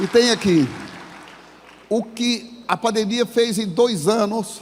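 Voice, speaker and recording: Over noticeable background noise, a man speaks at a very slow pace. His pitch is high and his intonation fairly even. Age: 70s. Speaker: business owner and motivational speaker. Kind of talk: motivational talk. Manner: informal, colloquial.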